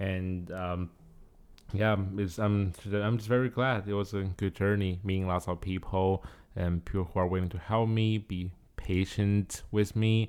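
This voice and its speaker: A Chinese accent at a fairly slow pace with monotone, flat intonation, on a very clean recording with a silent background. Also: man, fairly low pitch for a man. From China. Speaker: graduate student. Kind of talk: casual chat.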